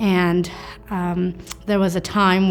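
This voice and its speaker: A woman with a Canadian accent, medium pitch and monotone, flat intonation, with music in the background. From Canada (Ontario), born in Afghanistan. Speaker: teacher. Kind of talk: interview answer.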